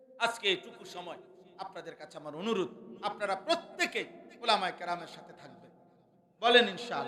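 A high-pitched man's raised, projected voice, full of lively intonation and big swings in loudness, over noticeable background noise. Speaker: Islamic preacher. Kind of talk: sermon. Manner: animated.

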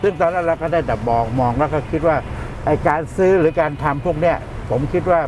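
The man's voice has a dry sound with no echo and ordinary pitch variation, with noticeable background noise. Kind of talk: interview answer. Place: car.

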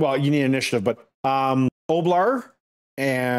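The background stays quiet. Pitch variation is ordinary in this natural reading voice.

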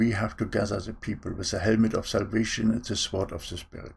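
Somewhat breathy, a man talks with a non-native accent. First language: not English. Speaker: online preacher. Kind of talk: sermon. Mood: earnest, preaching. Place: home room. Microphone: webcam.

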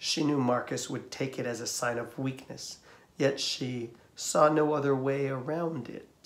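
Fairly even intonation in a natural reading voice

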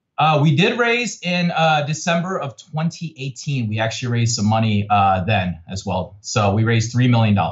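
The somewhat breathy voice moves at a moderate pace with very wide pitch swings over a quiet background. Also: man, medium pitch for a man. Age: 30s. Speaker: tech startup CEO. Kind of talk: interview. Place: home room. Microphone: video call.

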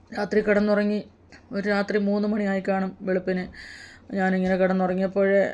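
Her voice lands at a medium pitch for a woman. The intonation is monotone and flat. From Kerala, Punalur (Kollam district). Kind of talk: personal testimony.

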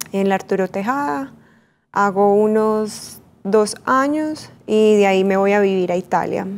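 A woman with an Antioquian accent at a fairly slow pace, her loudness very even and her pitch variation ordinary. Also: medium pitch for a woman. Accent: Colombian paisa (Antioquia) Spanish. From Colombia, Medellín. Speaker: fashion model and entrepreneur; interview guest. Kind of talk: interview. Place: studio. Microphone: lapel.

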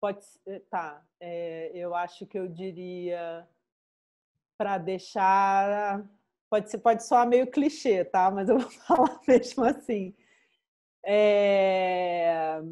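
Speaking very slowly with long, frequent pauses, a woman with a medium pitch and a dark, mellow tone shows ordinary pitch variation and big swings in loudness against a quiet background. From Brazil, Rio de Janeiro. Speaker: art curator and critic; guest. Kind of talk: interview. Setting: video call. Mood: relaxed, reflective, smiling. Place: home room. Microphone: video call.

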